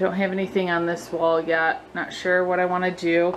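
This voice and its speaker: There is light background noise as a woman speaks in a monotone, flat intonation. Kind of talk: casual vlog chat. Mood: relaxed, happy. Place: home room. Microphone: phone near.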